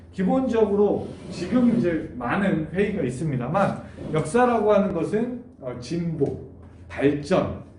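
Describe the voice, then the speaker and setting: A man speaks very slowly in a high voice with very wide pitch swings. Audible room echo surrounds him. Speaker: university lecturer. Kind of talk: online lecture. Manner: many filler sounds.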